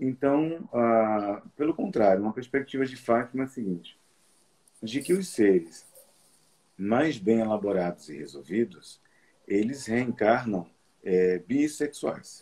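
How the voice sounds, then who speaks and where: A man speaks at medium pitch in a dark, mellow tone, with lively intonation. His pace is fairly slow, with long, frequent pauses. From Brazilian Northeast, Olinda. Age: 40s. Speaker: medium and psychology student. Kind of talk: interview on spirituality. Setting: live stream.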